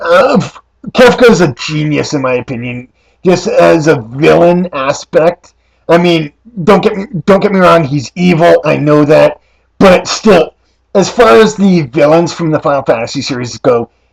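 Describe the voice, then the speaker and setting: In a raspy put-on character voice, a man talks at a moderate pace with fairly high pitch and lively intonation, in a dry, close sound with no echo. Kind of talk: casual talk to camera.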